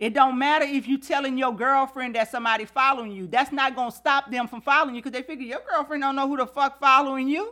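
Her voice raised and projected, a woman with a high pitch talks at a fairly quick pace in an animated, bright, sharp tone, with big swings in loudness. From Louisiana. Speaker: podcast host. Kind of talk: casual monologue.

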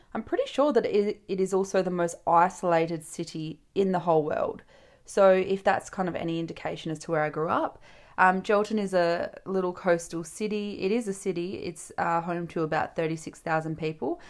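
An animated woman's voice at medium pitch, with an Australian accent and a fairly quick pace, on a very clean recording with a silent background. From Western Australia. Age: 20s. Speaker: podcast host, TikTok creator. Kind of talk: solo casual monologue. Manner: animated, chatty.

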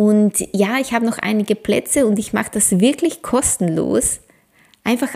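Here a woman speaks at medium pitch with ordinary pitch variation. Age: 40s. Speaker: ayurveda coach and podcast host. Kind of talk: solo podcast monologue; promotional pitch.

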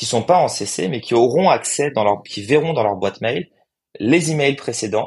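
The speaker is a man at a fairly slow pace. His intonation is lively. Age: 30s. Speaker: startup co-founder. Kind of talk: interview.

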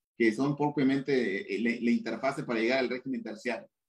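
The man talks with lively intonation. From Mexico, Chiapas. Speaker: tax and anti-money-laundering specialist. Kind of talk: interview. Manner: halting.

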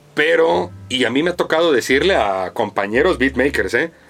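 A man at a medium pitch talks at a fairly slow pace with lively intonation over noticeable background noise. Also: very even loudness. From US, New York (Spanish Harlem). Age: 30s. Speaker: music producer. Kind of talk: casual chat.

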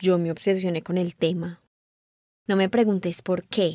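A woman talks at a moderate pace in a normal speaking voice with a medium pitch. The recording is very clean, with a silent background. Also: dry, close sound with no echo. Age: 20s. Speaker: interviewee sharing personal story. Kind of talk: personal testimony. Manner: casual, colloquial.

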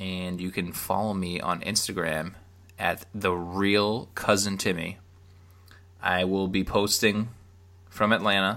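A man's fairly low, bright, sharp voice in an American accent, monotone and flat, at a fairly slow pace with long, frequent pauses. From Boston area, Massachusetts. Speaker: podcast co-host, stay-at-home dad. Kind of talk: casual chat.

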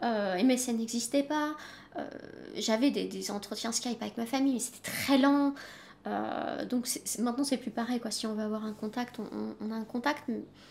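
This voice belongs to a woman and sits fairly high. The intonation is fairly even. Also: moderate pace. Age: 30s. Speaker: freelance French-as-foreign-language teacher. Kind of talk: interview. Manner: halting.

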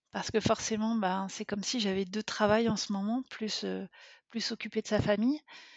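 Her pitch is fairly high and her intonation monotone and flat. The woman speaks at a fairly slow pace. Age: 30s. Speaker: podcast listener, mother. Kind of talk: personal testimony interview. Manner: hesitant, many fillers.

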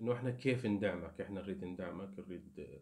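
A man with a very deep, low pitch talks at a moderate pace, his pitch varying in an ordinary way. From Iraq. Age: 30s. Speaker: YouTuber. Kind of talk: casual monologue to viewers.

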